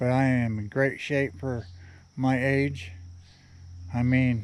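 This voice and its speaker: Very slow speech from a man, medium in pitch, with ordinary pitch movement. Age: 50s. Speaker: kayaker vlogger. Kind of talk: outdoor vlog narration. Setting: outdoors at river boat ramp. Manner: casual, halting.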